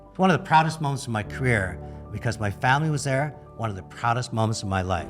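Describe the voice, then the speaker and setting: Over background music, a man talks at a very fast pace and a medium pitch with very wide pitch swings. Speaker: podcast host. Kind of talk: podcast intro monologue.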